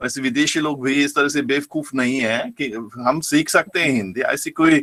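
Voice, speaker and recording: This man has a bright, sharp tone and a fairly high pitch. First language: German (speaking Hindi). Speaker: professor. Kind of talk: lecture. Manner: halting.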